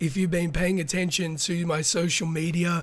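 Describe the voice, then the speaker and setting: This man has a high voice and an Australian accent. His intonation is fairly even. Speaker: YouTuber. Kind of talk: casual talk to camera.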